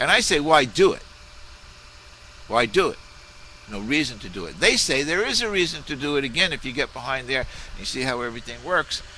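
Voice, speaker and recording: Against noticeable background noise, a man with a fairly high pitch talks at a fairly quick pace with lively intonation, big swings in loudness, and long, frequent pauses. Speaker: video blogger on monetary reform. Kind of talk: casual video response monologue. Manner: fast and loud; halting, many restarts and fillers.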